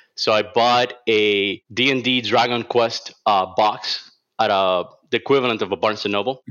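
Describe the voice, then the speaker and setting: Medium in pitch with ordinary pitch variation, a man speaks on a very clean recording with a silent background. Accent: Cuban. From Cuba. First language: Spanish. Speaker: illustrator. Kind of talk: casual interview chat.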